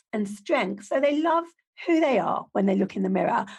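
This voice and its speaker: A woman speaks with very wide pitch swings. Her voice has vocal fry. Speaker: podcast host. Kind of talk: interview.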